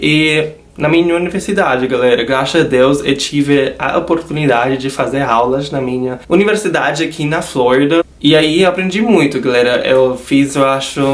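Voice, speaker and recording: Against noticeable background noise, a man with a fairly high pitch talks at a moderate pace with hardly any pauses and ordinary pitch variation. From United States. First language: not Portuguese (learned at university) (speaking Portuguese). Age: 20s. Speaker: YouTuber. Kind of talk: casual vlog. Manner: informal, chatty.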